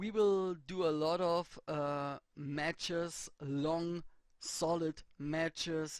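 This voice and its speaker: Someone talks at a very slow pace in a very clean recording with a silent background. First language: not English. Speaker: let's play gamer. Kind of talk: gameplay commentary. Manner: halting.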